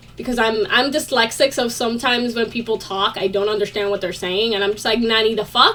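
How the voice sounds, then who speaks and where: With music in the background, a woman with a non-native accent talks at a very fast pace, her tone animated and her pitch fairly high. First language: not English. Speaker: vlogger. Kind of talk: casual chat.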